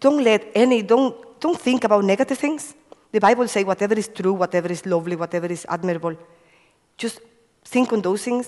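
Speaking at a fairly quick pace, a woman with a Spanish accent uses a fairly high pitch and lively intonation. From Cuba. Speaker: evangelist. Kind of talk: testimony. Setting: church.

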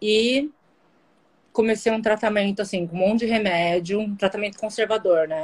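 Fairly high-pitched woman with an unremarkable speaking voice, moderate pace and ordinary pitch variation. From Guarujá, São Paulo coast, Brazil. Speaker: kidney transplant patient. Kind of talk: casual interview on a live stream. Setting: live video stream.

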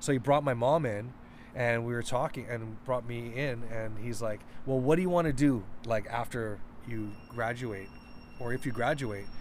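With an ordinary speaking voice, a man talks at a moderate pace and medium pitch, using ordinary pitch variation. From Vancouver, Canada. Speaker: DJ. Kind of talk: interview.

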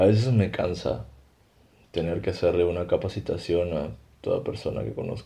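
In a very deep, low pitch, a man speaks at a moderate pace with a dark, mellow tone, lively intonation and vocal fry. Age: 30s. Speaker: illustrator and podcast creator. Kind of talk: scripted comedy dialogue.

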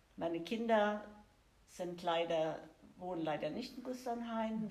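Noticeable background noise and audible room echo surround a woman speaking. She talks at a very slow pace with ordinary pitch variation. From Germany. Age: 60s. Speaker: churchgoing grandmother. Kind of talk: interview.

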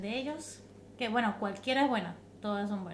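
In an Andean Venezuelan accent, a woman speaks at a fairly quick pace with fairly even intonation and a somewhat breathy voice, with audible room echo around her. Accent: Andean Venezuelan (gocho). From Venezuelan Andes (San Cristóbal, Táchira). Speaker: mother, podcast guest. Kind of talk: casual chat. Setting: in-person recording with host.

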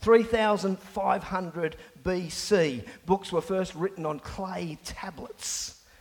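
High-pitched male voice over noticeable background noise. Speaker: pastor. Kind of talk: sermon. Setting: church. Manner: loud.

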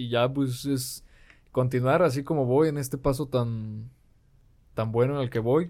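A man with a Mexican accent speaks at a fairly slow pace, his medium-pitched voice dark and mellow with fairly even intonation. Long, frequent pauses fill a very clean recording with a silent background. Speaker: podcast guest. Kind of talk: casual chat.

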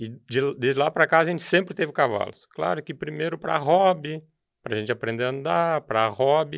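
Over a quiet background, a normal speaking voice moves at a fairly quick pace with lively intonation. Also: man, fairly high pitch for a man. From southern Brazil, Rio Grande do Sul (Novo Hamburgo). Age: 50s. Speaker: rural producer and horse show judge coordinator. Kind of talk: interview conversation.

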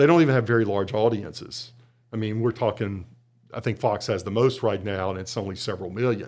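A normal speaking voice from a man, fairly low in pitch, at a fairly quick pace with ordinary pitch variation. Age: 60s. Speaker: journalism professor. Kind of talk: casual chat.

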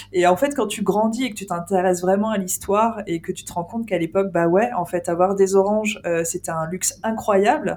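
Using a plain, everyday voice, a woman speaks at a medium pitch and a fairly quick pace, with ordinary pitch variation and hardly any pauses. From France, Île-de-France. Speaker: podcast host, ghost hunter. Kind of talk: casual chat.

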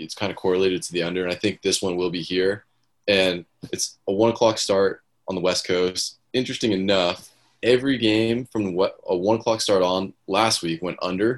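A man with a very deep, low pitch speaks at a moderate pace. His intonation is fairly even, and the background is quiet. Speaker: sports betting co-host. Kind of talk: casual chat.

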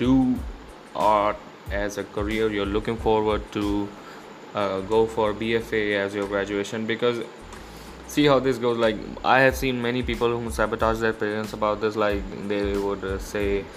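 Noticeable background noise sits behind a man with a fairly low pitch and fairly even intonation. He talks at a moderate pace with long, frequent pauses. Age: 20s. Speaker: podcast host, fine arts student. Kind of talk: casual monologue.

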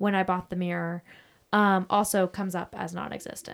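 The background is silent and the recording very clean. In it, a woman talks at a medium pitch and a moderate speed. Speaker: podcast co-host, bride-to-be. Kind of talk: casual chat. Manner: low energy.

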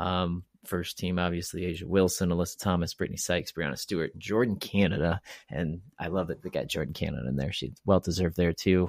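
Very deep and low, a man's voice carries vocal fry and fairly even intonation at a very fast pace. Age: 40s. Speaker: basketball podcast host. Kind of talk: casual chat. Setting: remote recording.

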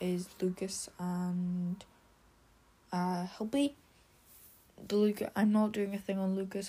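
A woman's somewhat breathy voice with a dark, mellow tone, monotone, flat intonation and a fairly slow pace. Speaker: gaming podcaster. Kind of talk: casual monologue. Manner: halting.

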